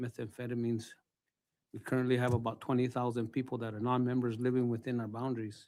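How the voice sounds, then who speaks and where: Speaking at a very fast pace, a man keeps a monotone, flat intonation at a medium pitch with a dark, mellow tone. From northern New Mexico, Santa Clara Pueblo. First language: Tewa. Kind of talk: testimony. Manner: halting.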